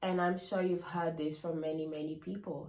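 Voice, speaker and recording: A woman speaks with a non-native accent. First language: not English. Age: 20s. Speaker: lifestyle vlogger. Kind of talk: casual vlog monologue. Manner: animated.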